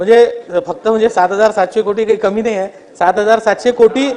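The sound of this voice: A man speaks fast in a high pitch, his intonation fairly even. The tone is slightly mellow.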